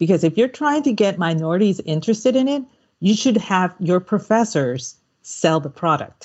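A woman speaks at a moderate pace with a medium pitch. Her pitch swings very widely. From Puerto Rico, then Texas from age nine. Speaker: podcast host. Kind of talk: casual chat.

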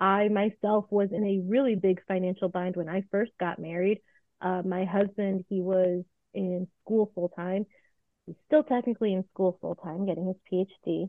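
An ordinary speaking voice moves at a moderate pace. The intonation is fairly even. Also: woman, medium pitch for a woman. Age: 30s. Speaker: financial educator. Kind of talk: interview.

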